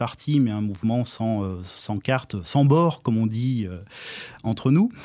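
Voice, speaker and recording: A man's dark, mellow tone with lively intonation at a moderate pace. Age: 50s. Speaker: local election candidate. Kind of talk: radio interview. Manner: hesitant, many filler sounds.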